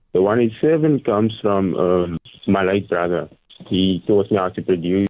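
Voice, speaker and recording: This man has a very deep, low pitch and a South African accent. He talks at a moderate pace. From South Africa, Gqeberha (Port Elizabeth). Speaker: musician and rapper. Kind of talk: radio interview. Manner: measured, considered.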